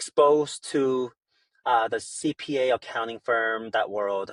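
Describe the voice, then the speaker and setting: A man with a Korean accent at medium pitch, fairly slow, ordinary pitch variation, in a dry, close sound with no echo. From South Korea, moved to US at 13. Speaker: startup founder. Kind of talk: podcast interview.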